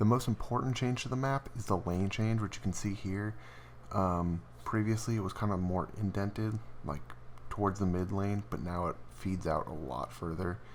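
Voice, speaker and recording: Quiet and fairly low-pitched, a man talks with lively intonation. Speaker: gaming video creator. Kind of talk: game patch commentary over footage. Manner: quiet, hushed; casual, fast.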